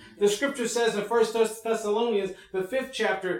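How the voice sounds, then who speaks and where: This is a man with a high-pitched voice. Noticeable noise sits in the background. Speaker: pastor. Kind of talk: church service opening and prayer. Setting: church.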